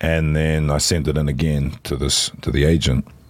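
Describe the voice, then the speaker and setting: With a New Zealand accent, a man speaks at a very deep, low pitch and with fairly even intonation. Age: 40s. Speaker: voice actor. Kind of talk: casual chat. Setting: outdoors.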